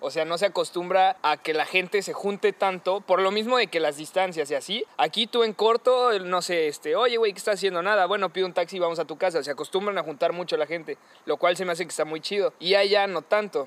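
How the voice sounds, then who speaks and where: A man speaks at a fairly quick pace in a high pitch with ordinary pitch variation and hardly any pauses. The sound is dry and close with no echo. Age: young. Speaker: podcast host. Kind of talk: casual chat; podcast intro and outro. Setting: recording on location.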